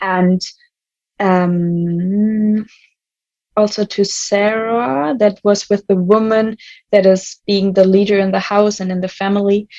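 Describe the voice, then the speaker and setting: At a very slow pace, a woman with a German accent speaks at medium pitch with fairly even intonation. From Germany. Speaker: youth volunteer. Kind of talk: podcast discussion. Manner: halting.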